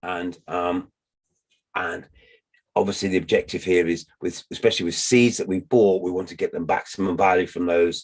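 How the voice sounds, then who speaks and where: A man talks at a moderate pace in a very deep, low pitch. His intonation stays monotone and flat. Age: 60s. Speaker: permaculture teacher. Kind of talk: lecture. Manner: repetitive, halting in places.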